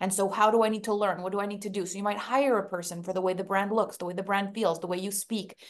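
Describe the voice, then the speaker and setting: A woman speaks with a French accent. Her pitch is medium and her intonation fairly even. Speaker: business coach. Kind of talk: interview.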